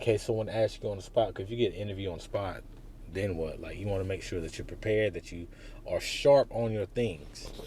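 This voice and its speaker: A somewhat breathy voice with a dark, mellow tone moves at a fairly quick pace, its pitch varying in an ordinary way. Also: man. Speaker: career advice vlogger. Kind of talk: casual vlog. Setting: outdoors walking into a job fair.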